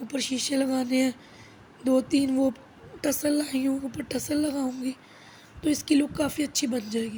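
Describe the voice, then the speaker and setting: Her pitch is high for a woman. She talks at a fairly slow pace in a monotone, flat intonation. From Pakistan. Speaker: housewife vlogger. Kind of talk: casual vlog talk.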